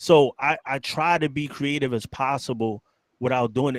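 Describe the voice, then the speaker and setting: The dry, close sound with no echo carries a man with a New York accent speaking at a fairly slow pace. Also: very clean recording, silent background. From New York City (Bronx). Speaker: biker news youtuber, ex-gang member. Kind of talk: casual chat.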